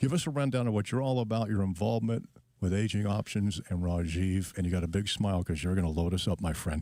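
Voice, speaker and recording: A man talks very fast with a dark, mellow tone, fairly low pitch and ordinary pitch variation. His loudness stays very even in a very clean recording with a silent background. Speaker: radio producer and fill-in host. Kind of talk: radio talk show. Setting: radio studio.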